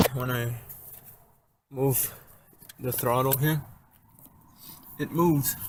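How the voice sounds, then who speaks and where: A man speaks quietly at a very slow pace. His medium pitch stays fairly even. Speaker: amateur car mechanic. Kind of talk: DIY tutorial narration.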